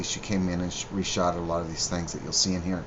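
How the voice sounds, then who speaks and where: A man's voice against noticeable background noise. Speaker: musician. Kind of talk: video commentary. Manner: casual, halting with fillers.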